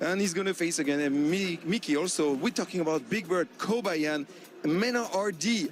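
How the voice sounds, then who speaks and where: Music plays in the background while a man speaks at a high pitch. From France. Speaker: esports analyst. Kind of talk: esports preview segment.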